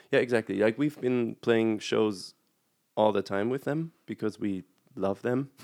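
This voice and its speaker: A man with a German accent talks at a fairly slow pace and a medium pitch, leaving long, frequent pauses. The sound is dry and close, with no echo. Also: ordinary pitch variation. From Germany. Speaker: graphic designer and band musician. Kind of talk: casual chat, video interview.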